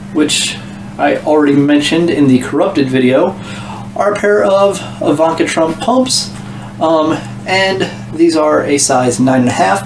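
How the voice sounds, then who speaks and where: A man speaks with long, frequent pauses while music plays in the background. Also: fairly slow pace. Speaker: thrift reseller. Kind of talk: casual haul vlog chat. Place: home room.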